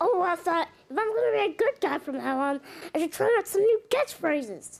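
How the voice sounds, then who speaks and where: A woman speaks in a put-on character voice, squeaky and extremely high-pitched. Her pace is fairly quick. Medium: machinima. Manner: enthusiastic, overeager.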